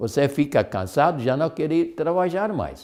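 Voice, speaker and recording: A man's fairly high voice carries noticeable vocal fry. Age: 70s. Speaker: health lecturer. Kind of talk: lecture. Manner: halting.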